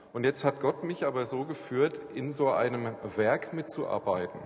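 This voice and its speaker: Very slow speech from a man with a fairly high pitch and ordinary pitch variation, over noticeable background noise. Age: 40s. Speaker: church planter and aid worker. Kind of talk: church talk interview.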